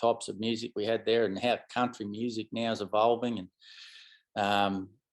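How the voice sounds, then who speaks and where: A man with an Australian accent talks at a fairly quick pace and a medium pitch. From outback Queensland, Australia. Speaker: country musician. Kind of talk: interview. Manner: halting, many fillers.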